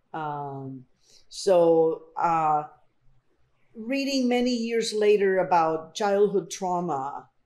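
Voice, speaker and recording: Speaking with a Spanish accent, a woman with a medium pitch uses lively intonation at a very slow pace, leaving long, frequent pauses. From Colombia, then Miami and Houston from age 12. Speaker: artist. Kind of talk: oral history interview.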